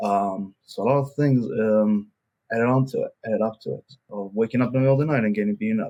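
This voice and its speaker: The speaker goes at a very fast pace with fairly even intonation. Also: man, medium pitch for a man. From Israel, raised by American father. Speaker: breathwork and somatic practitioner. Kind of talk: podcast interview. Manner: halting.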